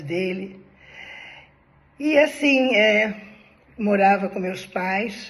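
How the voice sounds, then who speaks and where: Room echo is audible as a woman speaks. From Brazil, Rio de Janeiro (Ipanema). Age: 70s. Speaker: personal storyteller, former spiritist. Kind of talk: personal life story monologue. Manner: conversational, informal.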